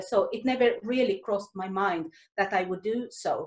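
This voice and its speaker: A woman with a Swedish accent speaks at a fairly high pitch. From Sweden. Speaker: Salvation Army officer and author. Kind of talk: talk to a women's group. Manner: halting.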